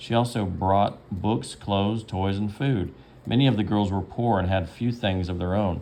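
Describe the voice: The speaker is doing plain reading aloud.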